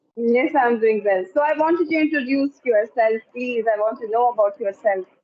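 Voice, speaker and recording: This woman's voice sits high in pitch, and her loudness stays very even. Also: ordinary pitch variation, moderate pace. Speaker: English learner. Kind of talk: casual conversation.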